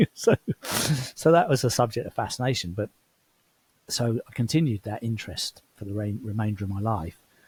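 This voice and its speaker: Close and dry with no echo, a man with an English accent speaks in a somewhat breathy medium pitch, with ordinary pitch variation. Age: 60s. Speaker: former CEO turned traveler. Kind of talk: interview conversation.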